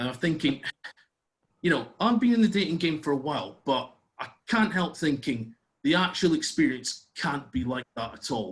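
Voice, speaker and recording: Speaking in a Scottish accent, a man with a fairly high pitch makes very wide pitch swings at a moderate pace. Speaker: comedian. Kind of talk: stand-up. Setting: video call.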